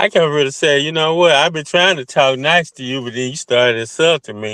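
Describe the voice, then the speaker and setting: Talking very fast in a Southern US accent, a man has a fairly high, bright, sharp voice with ordinary pitch variation and big swings in loudness, recorded with a dry, close sound and no echo. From US South. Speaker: caller. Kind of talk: casual chat; heated debate.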